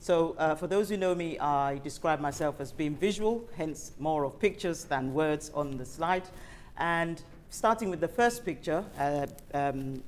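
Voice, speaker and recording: A woman's very deep, low pitch with ordinary pitch variation, fairly slow in pace, with audible room echo. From Africa. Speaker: invited speaker, healthcare professional. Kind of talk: panel presentation. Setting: event hall with audience and online stream. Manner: formal.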